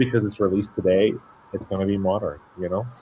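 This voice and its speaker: Speaking with a French accent, a man has a very deep, low pitch. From Luxembourg. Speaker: singer. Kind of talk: interview.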